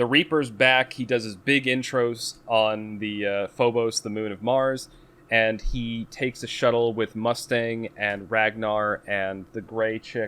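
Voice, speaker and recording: This man has a Boston accent, a medium pitch and a bright, sharp tone. He talks at a fairly slow pace with fairly even intonation and hardly any pauses. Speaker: podcast co-host. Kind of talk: casual chat, book recap.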